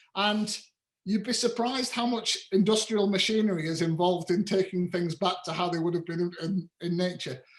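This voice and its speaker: This man talks in a high pitch with ordinary pitch variation. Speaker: farmer. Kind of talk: lecture. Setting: video call. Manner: fast; animated.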